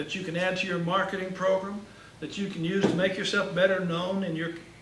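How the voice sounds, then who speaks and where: Over noticeable background noise and audible room echo, a man talks fairly quickly at a high pitch in a monotone, flat delivery. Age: 60s. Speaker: marketing speaker for insurance agents. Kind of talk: workshop talk.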